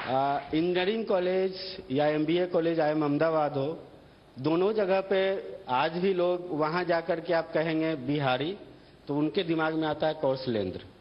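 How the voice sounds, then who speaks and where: Loudness stays very even as a man speaks at a fairly high pitch. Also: ordinary pitch variation. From India, Bihar. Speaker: entrepreneur. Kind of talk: TV talk show interview.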